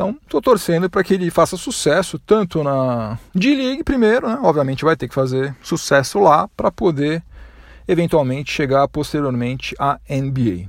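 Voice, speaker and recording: On a very clean recording with a silent background, a man talks at a fairly high pitch with very wide pitch swings. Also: moderate pace. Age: 40s. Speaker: sports podcast host. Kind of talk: solo sports podcast monologue. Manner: casual, conversational.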